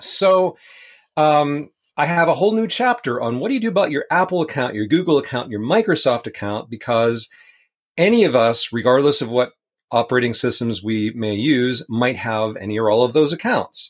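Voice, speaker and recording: Speaking at a moderate pace, a man uses a fairly high pitch with very wide pitch swings. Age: 50s. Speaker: tech author. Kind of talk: interview.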